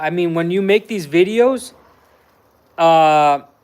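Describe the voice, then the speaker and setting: Heard in a very clean recording with a silent background, a man with an American accent speaks in a high pitch. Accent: Mexican American LA accent, remarked on. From Southern California, Los Angeles (Mexican American). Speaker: vlogger. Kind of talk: live stream chat. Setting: indoors cooking during live stream. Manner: casual, animated.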